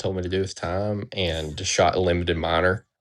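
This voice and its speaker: A man with a Southern US accent and a very deep, low pitch mumbles in fairly even intonation. The background is quiet. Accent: Southern drawl. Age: 30s. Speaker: competitive pistol shooter. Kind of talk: interview. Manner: mumbling.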